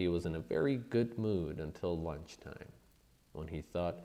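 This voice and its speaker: A man talks in a very deep, low voice with a dark, mellow tone. His pace is fairly slow, with ordinary pitch variation. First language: not English. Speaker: audiobook narrator. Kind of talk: reading aloud.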